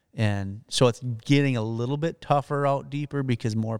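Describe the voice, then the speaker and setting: At a moderate pace and with ordinary pitch variation, a man with a Wisconsin accent speaks in a dry, close sound with no echo on a very clean recording with a silent background. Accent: Upper Midwest (Wisconsin). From northern Wisconsin. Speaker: professional bass angler. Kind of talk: interview.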